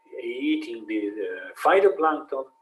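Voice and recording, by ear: A man at a fairly slow pace, medium in pitch, with lively intonation. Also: fairly bright tone.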